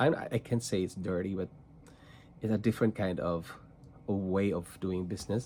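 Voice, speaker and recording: A man with a Filipino accent speaks in a very deep, low pitch and dark, mellow tone, leaving long, frequent pauses. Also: ordinary pitch variation. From Philippines, rural province. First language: Tagalog and Cebuano. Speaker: trading card content creator. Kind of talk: casual vlog monologue. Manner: slow, deliberate; halting with repetitions.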